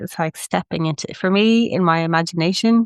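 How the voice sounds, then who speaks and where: A woman with a fairly low pitch speaks with lively intonation, the sound dry and close with no echo against a quiet background. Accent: Irish. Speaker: spiritual wellness podcaster. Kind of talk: casual podcast monologue. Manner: warm, effusive.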